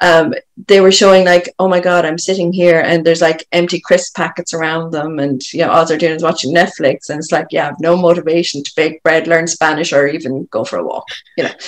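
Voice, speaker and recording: A woman speaks with an Irish accent at a fairly quick pace. Her pitch is fairly low and her intonation monotone and flat. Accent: Irish, lilting. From Ireland. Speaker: coach working with people. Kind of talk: podcast interview conversation.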